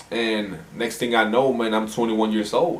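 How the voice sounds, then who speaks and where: Fairly low in pitch, a man talks at a fairly quick pace. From Houston, Texas. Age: 20s. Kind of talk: casual talk to camera.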